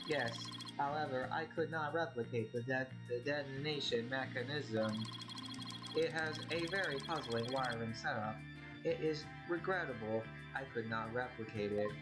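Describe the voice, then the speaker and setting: A man puts on a robotic character voice at a medium pitch and a moderate pace. He leaves long, frequent pauses while loud music plays in the background. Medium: game stream. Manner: clipped, flat, logical.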